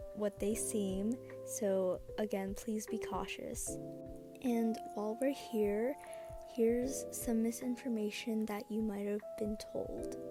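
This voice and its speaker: This woman's delivery is very slow. Music can be heard in the background. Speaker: shifting content creator. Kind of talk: explainer voiceover.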